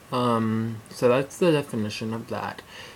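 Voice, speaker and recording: A man speaks over noticeable background noise. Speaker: vlogger. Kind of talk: casual vlog. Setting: alone at home on camera. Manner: halting.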